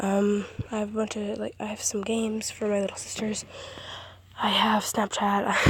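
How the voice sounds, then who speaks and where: Against noticeable background noise, a woman with a medium pitch talks at a moderate pace in a monotone, flat way. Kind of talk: casual phone screen-recording talk.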